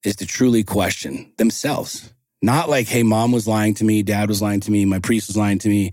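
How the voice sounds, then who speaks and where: A man's normal speaking voice, fairly low and at a moderate pace, with fairly even intonation, on a very clean recording with a silent background. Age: 40s. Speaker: entrepreneur and motivational coach. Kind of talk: casual chat.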